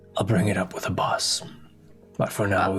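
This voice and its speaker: Over faint music in the background, a raspy, put-on character voice moves at a moderate pace. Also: man, fairly low pitch for a man. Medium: actual play. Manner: formal, polite.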